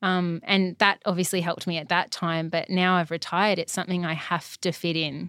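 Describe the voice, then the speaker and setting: A woman with an Australian accent, fairly low pitch and monotone, flat intonation, at a fairly quick pace, in a dry, close recording with no echo and a very clean, silent background. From Brisbane, Australia. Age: 30s. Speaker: retired ballet dancer. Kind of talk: interview conversation.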